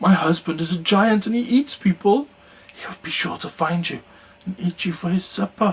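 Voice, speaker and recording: At a middle pitch and a moderate pace, this is a put-on character voice. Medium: read story.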